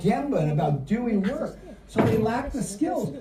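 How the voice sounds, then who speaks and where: The speaker sounds animated over noticeable background noise. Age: 60s. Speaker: business leader and speaker. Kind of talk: conference keynote.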